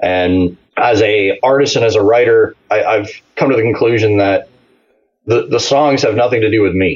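Somewhat breathy, the voice moves at a moderate pace with very even loudness and ordinary pitch variation. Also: man, medium pitch for a man. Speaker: country singer. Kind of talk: casual interview chat.

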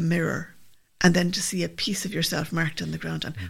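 This woman has a Limerick accent and a fairly low pitch with vocal fry. Her pace is moderate and her pitch varies in an ordinary way. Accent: Irish (Limerick). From Limerick, Ireland.

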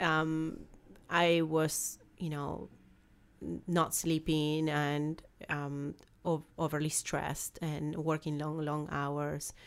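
A woman with a strong Argentine accent speaks very slowly in a very deep, low pitch and a monotone, flat intonation. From Argentina. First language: Spanish. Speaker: business founder. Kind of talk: interview.

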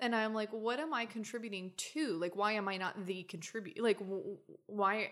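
A normal speaking voice with an American accent, at a moderate pace with ordinary pitch variation. The recording is very clean with a silent background. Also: woman. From Oklahoma, US South. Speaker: guest studying feminist theory. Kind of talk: casual chat.

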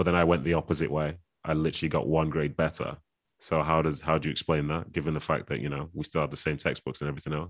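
In a Mancunian accent, a man talks very fast in a very deep, low voice with flat, monotone intonation over a quiet background. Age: 30s. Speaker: footballer and author. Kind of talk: casual interview. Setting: video call.

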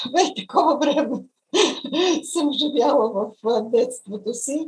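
Her intonation rises and falls in a lively way. This woman talks very slowly. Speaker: journalist and writer. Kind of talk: interview. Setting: video call.

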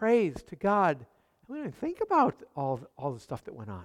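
In a very clean recording with a silent background and a dry, close sound with no echo, a man speaks in a high voice with an animated tone. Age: 60s. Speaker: pastor. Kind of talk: sermon.

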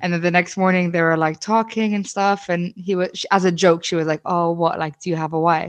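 With hardly any pauses, a woman talks in a fairly low pitch. Her intonation is monotone and flat. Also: fairly quick pace. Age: 20s. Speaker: podcast co-host. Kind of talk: casual chat.

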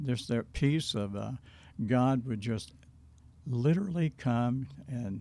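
A man with a Southern US accent speaks at a very slow pace. His medium-pitched voice has a dark, mellow tone and ordinary pitch variation. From Arkansas, Hope. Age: 70s. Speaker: pastor. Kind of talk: interview about his life. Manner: unhurried, hesitant fillers.

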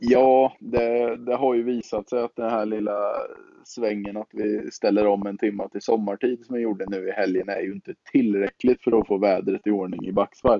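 At a moderate pace, a man talks with medium pitch and fairly even intonation in an unremarkable speaking voice. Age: 20s. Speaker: podcast co-host, canoeist. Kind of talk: casual chat.

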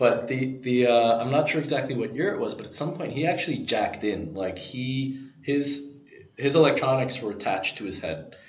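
Against noticeable background noise and audible room echo, a man speaks with ordinary pitch variation. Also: medium pitch for a man, moderate pace. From New York, Brooklyn. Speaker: podcast guest, tech enthusiast. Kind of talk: casual chat.

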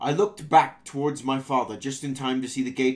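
The speaker simply reads the text out loud.

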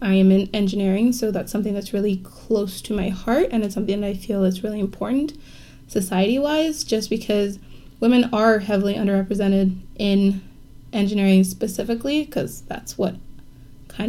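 A woman speaks at a moderate pace with a medium pitch and a dark, mellow tone. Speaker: university student leader. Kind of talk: casual conversation.

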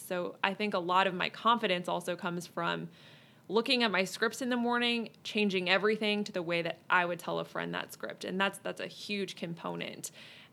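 At a moderate pace, a woman speaks in an unremarkable speaking voice with medium pitch. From US Midwest, St. Louis. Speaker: TV news anchor. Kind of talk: interview.

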